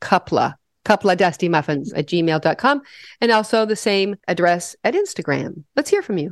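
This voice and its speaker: Against a quiet background, a woman with a normal speaking voice and an American accent talks at a moderate pace and medium pitch. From US Midwest (western Nebraska). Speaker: podcast co-host. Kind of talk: casual chat.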